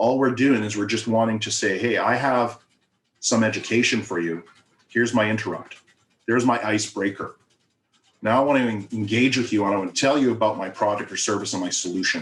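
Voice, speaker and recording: This man talks at a fairly quick pace with fairly even intonation. His pitch is medium. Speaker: marketing consultant. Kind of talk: workshop presentation. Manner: fast.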